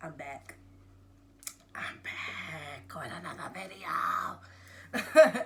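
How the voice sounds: A put-on character voice, raspy and menacing at a middle pitch, creeps along at a fairly slow pace with long, frequent pauses over light background noise.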